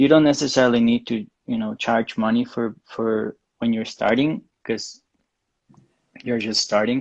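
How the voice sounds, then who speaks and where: A man speaks with a Spanish accent. His pitch is medium and his intonation fairly even. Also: moderate pace. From Mexico. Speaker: graphic designer. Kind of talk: interview. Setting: livestream video call. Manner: halting.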